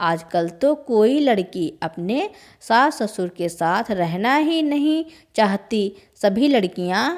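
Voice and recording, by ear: Someone is reading text aloud. The reading voice is natural.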